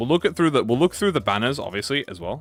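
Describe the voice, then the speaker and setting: Speaking in an English accent, a man sounds enthusiastic. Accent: regional accent, drops H sounds. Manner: casual, chatty, enthusiastic.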